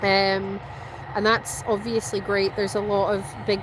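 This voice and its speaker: A woman with a slight Scottish accent speaks at a moderate pace and medium pitch. Background noise is noticeable. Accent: Scottish, mild. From Scotland. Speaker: plane spotter live streamer. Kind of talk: live stream chat. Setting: outdoors at airport.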